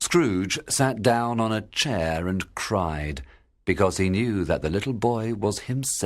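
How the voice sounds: Lively intonation in a natural reading voice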